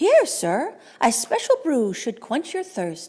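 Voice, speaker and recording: A woman puts on a character voice pitched high. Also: fairly slow pace. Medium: read story.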